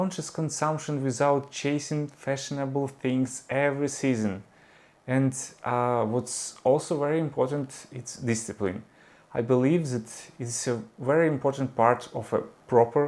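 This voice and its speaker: In a Ukrainian accent, a man speaks with fairly even intonation. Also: medium pitch for a man, fairly slow pace. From Ukraine. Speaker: vlogger and 3D artist. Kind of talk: personal vlog monologue. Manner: halting, many fillers.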